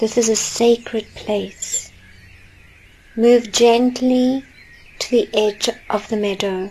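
A woman with a fairly high pitch speaks in a soothing, calm tone at a very slow pace, leaving long, frequent pauses. Her intonation stays fairly even, and there is noticeable background noise. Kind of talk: guided meditation. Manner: slow, soft-spoken, soothing; calm, gentle, with long pauses.

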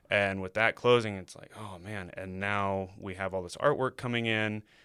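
In a very clean recording with a silent background, a man has an ordinary speaking voice, a fairly low pitch and fairly even intonation. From Indiana, US Midwest. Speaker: muralist, former art teacher. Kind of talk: casual interview chat.

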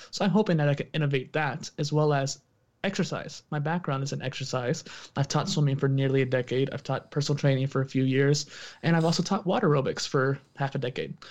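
A man's fairly high, somewhat breathy voice at a very fast pace, over a quiet background. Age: 20s. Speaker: entrepreneur and podcaster, exercise background. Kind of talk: casual interview conversation.

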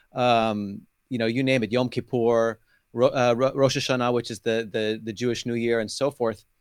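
A man with an American accent speaks at a medium pitch. He keeps a moderate pace with flat, monotone intonation. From California. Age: 40s. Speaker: street evangelist. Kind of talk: testimony.

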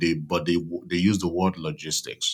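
Heard on a very clean recording with a silent background, a man with a Nigerian accent speaks at a very deep, low pitch. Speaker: army veteran and supply chain consultant. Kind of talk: interview conversation.

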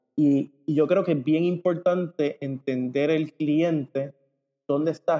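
The man's tone is dark and mellow, with a fairly high pitch. He talks at a fairly slow pace with fairly even intonation. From Puerto Rico. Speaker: ecommerce company co-founder. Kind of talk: interview.

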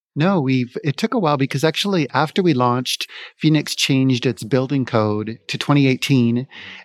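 Heard in a dry, close sound with no echo, a man with a Canadian accent uses an ordinary speaking voice, medium pitch, ordinary pitch variation and a moderate pace. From Vancouver, Canada. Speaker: city sustainability officer. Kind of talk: live interview at a conference. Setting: conference venue, recorded live.

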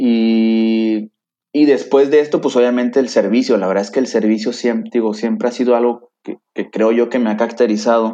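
A man speaks at a fairly slow pace with fairly even intonation. His tone is dark and mellow. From Mexico, Tampico, Tamaulipas. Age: 30s. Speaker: systems engineer, lay church volunteer. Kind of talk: faith testimony in interview.

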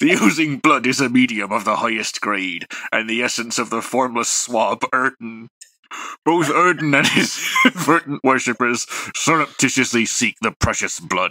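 This man puts on a character voice at a medium pitch. His pace is moderate. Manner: theatrical, playful.

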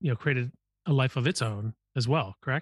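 A man with an unremarkable speaking voice and an American accent, medium in pitch with ordinary variation, against a quiet background in a dry, close sound with no echo. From US Midwest. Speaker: podcast host and venture capitalist. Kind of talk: interview conversation.

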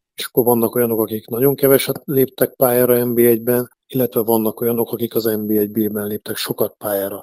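This man has a dark, mellow tone and a monotone, flat intonation. He talks at a fairly quick pace with hardly any pauses. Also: medium pitch for a man, dry, close sound with no echo. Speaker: national team coach. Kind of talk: radio interview.

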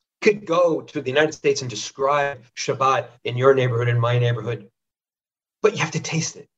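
A man with an American accent talks at a fairly high pitch and moderate pace, his intonation lively. His loudness swings widely, and music plays in the background. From northern US. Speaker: historian and author. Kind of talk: interview.

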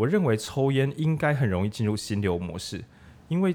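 The recording is very clean and the background silent. In it, a man talks at a moderate tempo with lively intonation. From Changhua, Taiwan. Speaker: bookstore radio host. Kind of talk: casual book discussion. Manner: animated.

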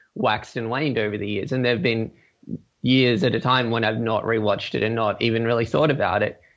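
Against a quiet background, a man speaks with an Australian accent. His pitch is medium and his intonation fairly even. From Australia, Gold Coast. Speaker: podcast listener sharing a fan theory. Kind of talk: casual interview. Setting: Skype call.

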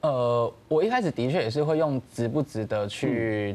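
A man's medium-pitched, normal speaking voice with lively intonation at a moderate pace. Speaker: documentary director. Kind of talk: interview.

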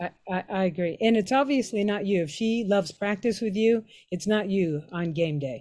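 A woman speaks with an American accent at a medium pitch. Her tone is dark and mellow. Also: ordinary pitch variation, moderate pace. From Pittsburgh, Pennsylvania. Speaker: high school English teacher and softball coach. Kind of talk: casual chat.

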